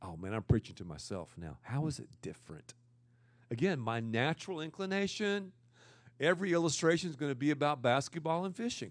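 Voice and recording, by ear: A loud man speaks at a fairly quick pace with big pitch swings and a fairly high pitch. The recording is very clean, with a silent background.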